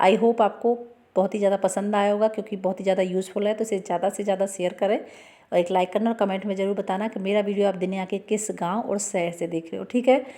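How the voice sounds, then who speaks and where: A woman speaks in a dark, mellow tone at a medium pitch. Her intonation stays flat and monotone, with hardly any pauses. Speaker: home tips video creator. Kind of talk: tutorial. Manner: fast.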